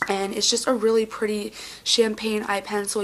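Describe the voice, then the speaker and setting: A woman's medium-pitched voice, monotone and flat, at a fairly quick pace amid noticeable background noise. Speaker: beauty vlogger. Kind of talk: casual talk to camera.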